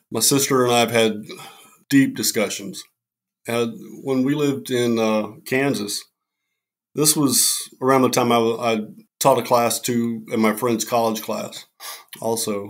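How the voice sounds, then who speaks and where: Recorded very cleanly against a silent background, a man with a plain, everyday voice speaks at medium pitch and a moderate pace, with ordinary pitch variation. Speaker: military veteran and Wiccan cleric. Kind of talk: casual chat. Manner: casual.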